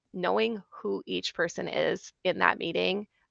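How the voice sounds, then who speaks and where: In a dry, close recording with no echo, a woman speaks with a strong Minnesota accent. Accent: Minnesota accent, strong now. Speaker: IT consultant. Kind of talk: casual chat.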